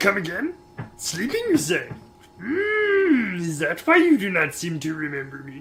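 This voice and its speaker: Using a put-on character voice, a man speaks at a moderate pace with high pitch and big swings in loudness. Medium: game stream. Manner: effusive, drawn-out "hmm"s.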